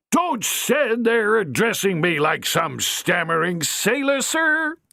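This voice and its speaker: A man performs a put-on character voice, pitched high. He moves at a fairly slow pace with very wide pitch swings. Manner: hissing, furious.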